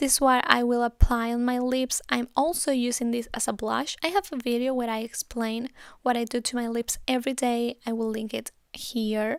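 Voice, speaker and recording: A woman with a Spanish accent talks at a moderate pace in a high pitch with fairly even intonation. The recording is very clean with a silent background and a dry, close sound with no echo. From Spain. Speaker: beauty YouTuber. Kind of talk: makeup tutorial. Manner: casual, chatty.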